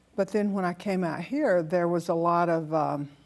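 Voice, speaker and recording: Here a woman talks at a fairly slow pace with a slight Southern US accent. Her pitch is fairly low. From US South, Alabama. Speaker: hairdresser, patient sharing her story. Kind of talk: interview testimony.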